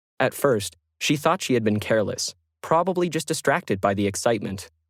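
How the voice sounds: A man's medium-pitched voice at a moderate pace, with lively intonation. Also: very clean recording, silent background.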